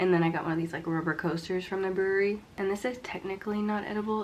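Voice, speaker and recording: Someone is whispering and mumbling. Noticeable background noise sits under the voice. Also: woman. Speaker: vlogger. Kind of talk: casual vlog talk to camera.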